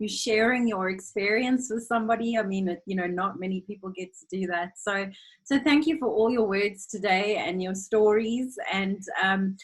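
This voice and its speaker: Speaking at a moderate pace with hardly any pauses, a woman has a medium pitch, a somewhat breathy voice, ordinary pitch variation and big swings in loudness. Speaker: former au pair, interviewer. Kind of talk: interview.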